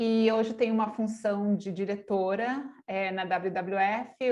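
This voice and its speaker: Fairly even intonation in a woman's voice of medium pitch. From Argentina. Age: 40s. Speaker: online course host, NGO director. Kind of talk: online masterclass presentation.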